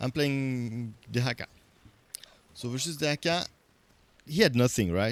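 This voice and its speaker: A man speaks in a French accent at a moderate pace. The sound is dry and close with no echo, and his pitch varies in an ordinary way. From French-speaking Switzerland. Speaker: video game streamer. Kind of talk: live gameplay commentary. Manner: hesitant, many fillers.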